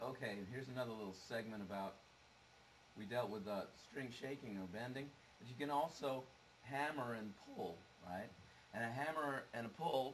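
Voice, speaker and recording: Audible room echo surrounds this voice. A man speaks at a medium pitch. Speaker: guitar teacher. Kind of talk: tutorial. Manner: halting. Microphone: low quality camera.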